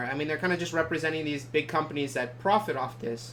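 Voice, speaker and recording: Background noise is noticeable here. Over it, a man talks very fast. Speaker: podcast co-host. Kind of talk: casual podcast discussion.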